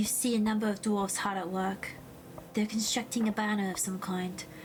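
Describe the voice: The passage is given as plain reading aloud with fairly even intonation.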